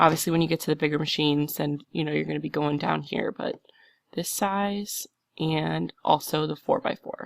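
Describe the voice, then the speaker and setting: Against a quiet background, the woman keeps to a moderate pace. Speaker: embroidery software tutorial maker. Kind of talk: tutorial. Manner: casual, chatty. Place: home room. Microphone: headset.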